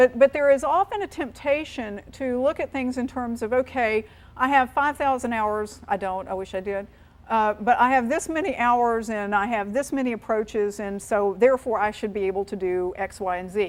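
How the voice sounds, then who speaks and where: A woman speaks with a slight North Carolina accent at a moderate pace. Her pitch is fairly high and her intonation lively. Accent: slight North Carolina twang. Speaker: aviation safety presenter. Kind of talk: seminar presentation. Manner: repetitive, self-correcting.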